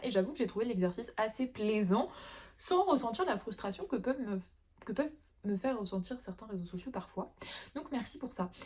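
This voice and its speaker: With noticeable background noise behind her, a woman speaks at a moderate pace with lively intonation. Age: 20s. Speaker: illustrator. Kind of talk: casual talk to camera.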